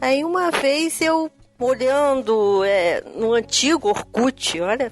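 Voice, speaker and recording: A woman's high voice in a Rio de Janeiro accent, very slow and very even in loudness, with lively intonation and noticeable background noise. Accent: carioca. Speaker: science teacher. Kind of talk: podcast interview. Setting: podcast recording.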